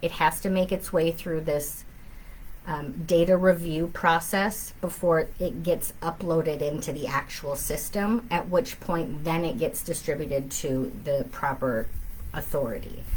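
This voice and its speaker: With an Upper Midwest accent, a woman speaks using ordinary pitch variation. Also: fairly low pitch for a woman, fairly slow pace. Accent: Upper Midwest American. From southern Minnesota. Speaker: family law attorney. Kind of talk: live Q&A. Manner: conversational, frequent fillers.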